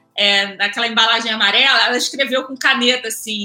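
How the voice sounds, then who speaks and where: Using a raised, projected voice, a woman with a Rio de Janeiro accent talks at a fairly quick pace. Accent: Carioca Brazilian Portuguese. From Rio de Janeiro suburbs, Brazil. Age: 30s. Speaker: journalist and press officer. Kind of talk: casual interview.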